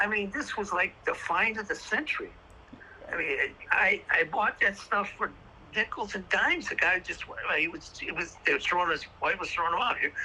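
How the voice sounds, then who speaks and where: The speech goes at a moderate pace with noticeable background noise. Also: man. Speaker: retired baseball card dealer. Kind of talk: interview conversation. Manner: halting, repetitive stammering.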